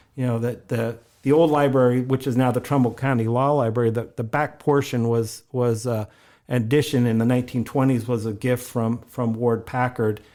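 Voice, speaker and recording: On a very clean recording with a silent background, a man with a northeast Ohio accent speaks at a moderate pace in a dark, mellow tone and monotone, flat intonation. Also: medium pitch for a man. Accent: Midwestern American (northeast Ohio). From Ohio, US (Warren). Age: 60s. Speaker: local museum historian. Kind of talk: podcast interview. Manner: halting, many repetitions and fillers.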